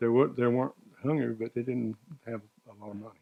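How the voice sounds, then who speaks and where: A man with a Southern US accent speaks at medium pitch and a moderate pace, his tone dark and mellow, the sound dry and close with no echo. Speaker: retiree recounting life story. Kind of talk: interview reminiscence. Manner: halting.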